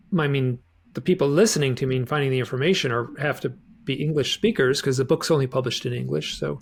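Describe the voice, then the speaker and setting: A man talks at a very fast pace, his voice somewhat breathy. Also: medium pitch for a man, ordinary pitch variation. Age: 60s. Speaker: author and UFO researcher. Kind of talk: casual interview.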